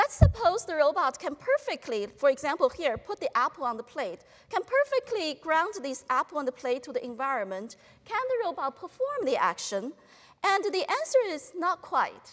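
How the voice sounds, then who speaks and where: Speaking at a moderate pace, a woman uses an extremely high pitch with big swings in loudness. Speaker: professor giving a talk. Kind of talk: lecture. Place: hall. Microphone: lapel.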